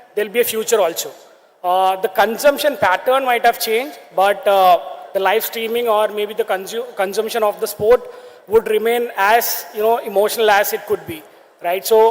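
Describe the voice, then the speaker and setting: Over noticeable background noise, a man with a high voice speaks at a fairly quick pace and with fairly even intonation. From India, Kerala. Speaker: sports media entrepreneur. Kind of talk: conference talk.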